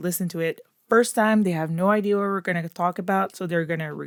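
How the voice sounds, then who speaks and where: Speaking with a Quebec accent at medium pitch, a woman shows ordinary pitch variation in a very clean recording that is dry and close with no echo and a silent background. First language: French. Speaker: true crime podcast host. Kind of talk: scripted narration; casual chat.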